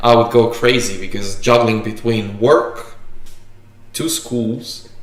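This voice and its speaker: Audible room echo around a man speaking at a very slow pace in a monotone, flat intonation. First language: Macedonian or Slovenian. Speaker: barista and coffee YouTuber; video host. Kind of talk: casual livestream chat. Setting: livestream. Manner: halting, many fillers and restarts. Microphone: camera far.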